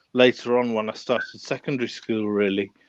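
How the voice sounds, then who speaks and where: A man with a northern English accent, medium pitch, moderate pace and monotone, flat intonation, in a dry, close sound with no echo against a quiet background. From northern England. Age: 40s. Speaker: watch collector. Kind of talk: casual interview. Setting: live stream. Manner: halting.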